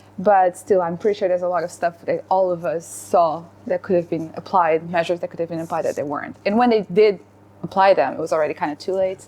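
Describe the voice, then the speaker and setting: Very fast and with ordinary pitch variation, a woman with a Portuguese accent speaks at a fairly low pitch. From Portugal. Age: 20s. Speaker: lawyer, panel guest. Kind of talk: casual discussion.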